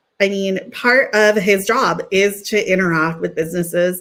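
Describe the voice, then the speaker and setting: A woman with a Californian accent and fairly even intonation. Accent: California. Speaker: sales professional. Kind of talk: interview.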